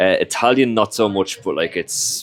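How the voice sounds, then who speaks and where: The sound is dry and close, with no echo. A man speaks with a Dublin accent and ordinary pitch variation. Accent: Irish (Dublin). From Ireland, Dublin/Leinster area. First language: Irish. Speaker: recruitment consultant and musician. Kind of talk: interview. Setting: in-person filmed interview. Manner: conversational with frequent fillers.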